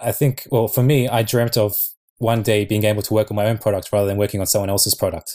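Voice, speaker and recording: A man with an Australian accent at a very fast pace, fairly low in pitch, with monotone, flat intonation in a very clean recording with a silent background. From Australia (Sydney). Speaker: app developer. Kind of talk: casual chat.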